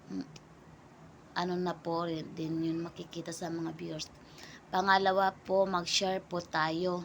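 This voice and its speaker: A woman speaks at a fairly slow pace with a fairly low pitch. Her intonation is monotone and flat. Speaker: small vlogger. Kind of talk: casual vlog talk to camera. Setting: talking to camera. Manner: halting, many fillers.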